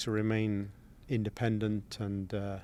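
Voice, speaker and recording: The man's voice sits at a medium pitch. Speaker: engineering firm president. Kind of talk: interview. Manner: hesitant, many fillers and repeats.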